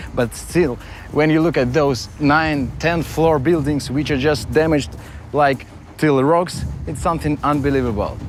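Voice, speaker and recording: A man with a non-native accent speaks at a moderate pace in a fairly high pitch, his intonation fairly even. Noticeable background noise and audible room echo fill the recording. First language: Russian. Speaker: travel vlogger. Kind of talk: travel vlog narration. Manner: halting.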